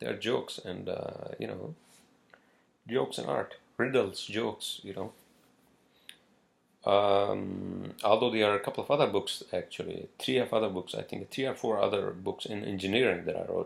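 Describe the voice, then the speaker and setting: A man at a moderate pace with long, frequent pauses, on a very clean recording with a silent background. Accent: non-native. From northern Pakistan. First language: not English. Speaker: podcaster. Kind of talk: casual solo podcast monologue. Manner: halting, many fillers and repetitions.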